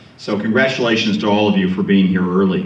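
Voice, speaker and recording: A man's pitch swings very widely as audible room echo rings around his voice. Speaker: panel moderator. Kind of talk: speech to a live audience. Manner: loud.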